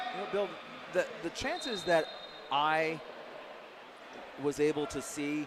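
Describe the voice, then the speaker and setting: A man with an American accent at a fairly slow pace, with long, frequent pauses and noticeable background noise. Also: fairly high pitch for a man, ordinary pitch variation. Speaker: play-by-play sports commentator. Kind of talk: live commentary. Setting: broadcast booth at a live match.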